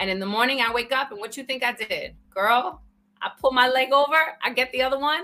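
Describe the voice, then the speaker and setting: With a New York accent, a woman talks fairly quickly in a raised, projected voice, her pitch high and ordinary in its variation. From New York (the Bronx). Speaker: author and speaker. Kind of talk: casual interview. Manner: animated.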